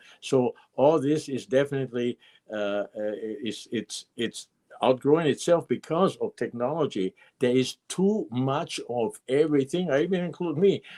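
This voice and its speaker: A man's fairly high voice with a dark, mellow tone, lively intonation and a moderate pace, in a dry, close sound with no echo. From Austria (Vienna). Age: 70s. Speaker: guitar maker. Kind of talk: interview. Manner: halting.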